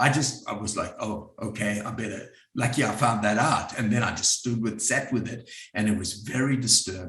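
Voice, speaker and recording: A man with a South African accent at a moderate pace, medium pitch and ordinary pitch variation, with audible room echo. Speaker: psychotherapist and group facilitator. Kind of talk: workshop talk. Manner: conversational.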